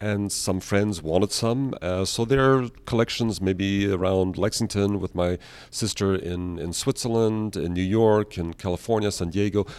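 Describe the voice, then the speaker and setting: An ordinary speaking voice at a moderate pace with fairly even intonation and hardly any pauses, in a very clean recording with a silent background. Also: man, fairly low pitch for a man. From Austria (Vienna), born in Canada. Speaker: architecture professor and woodcarver. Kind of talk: podcast interview.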